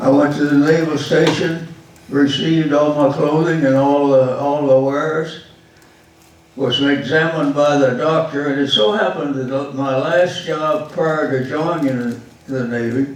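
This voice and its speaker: Through noticeable background noise, a man with a Texan accent and a fairly high voice speaks at a fairly slow pace with fairly even intonation. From Texas. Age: 80s+. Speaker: war veteran. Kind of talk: public talk about his life.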